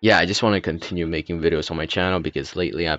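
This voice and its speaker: Over music in the background, a man with a very deep, low pitch talks at a very fast pace and keeps his intonation fairly even. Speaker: YouTube design tutorial creator. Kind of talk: tutorial. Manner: halting, stuttering; hesitant, many fillers.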